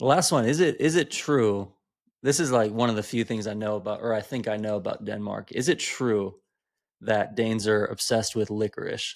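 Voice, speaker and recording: With an American accent, a man at a medium pitch talks at a fairly quick pace. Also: very clean recording, silent background. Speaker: podcast host. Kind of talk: podcast interview. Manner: monotone.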